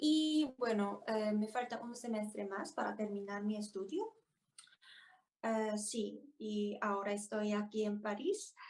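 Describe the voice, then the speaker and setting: A woman with a Korean accent at a very slow pace. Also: fairly high pitch for a woman, ordinary pitch variation. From South Korea, Daegu. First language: Korean (speaking Spanish). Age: 20s. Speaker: language learner and student. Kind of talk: interview. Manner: halting, many fillers and repetitions.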